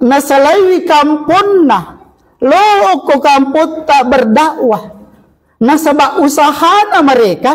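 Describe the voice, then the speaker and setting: An extremely high-pitched male voice with a South Sulawesi accent, lively intonation, very even loudness and a very slow pace. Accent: Bugis, Sidenreng Rappang dialect. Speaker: Islamic preacher. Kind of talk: religious sermon to a congregation. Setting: mosque.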